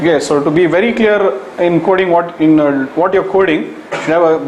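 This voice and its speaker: Talking at a fairly quick pace with ordinary pitch variation, the speaker is heard over noticeable background noise and audible room echo. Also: man. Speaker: programming teacher. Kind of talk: lecture.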